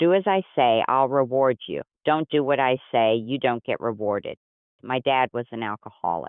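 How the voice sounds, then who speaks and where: A man with a normal speaking voice talks at a moderate pace, medium in pitch with ordinary variation. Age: 60s. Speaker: caller. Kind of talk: advice call-in conversation.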